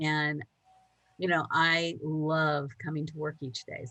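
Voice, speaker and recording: A woman with a very deep, low pitch talks at a moderate pace. Her tone is bright and sharp. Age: 60s. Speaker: coach for speakers. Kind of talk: interview.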